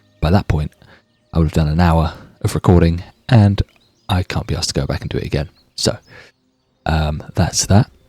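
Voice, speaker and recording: A man with a British accent, very deep and low, with ordinary pitch variation and long, frequent pauses, in a dry, close sound with no echo. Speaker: gaming YouTuber. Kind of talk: let's play commentary. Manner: casual, chatty.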